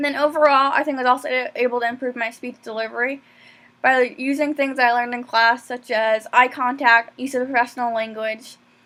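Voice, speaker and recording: Soft-spoken and high-pitched, a woman talks at a fairly quick pace in a monotone, flat intonation. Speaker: college student. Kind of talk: self-reflection monologue. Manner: fast.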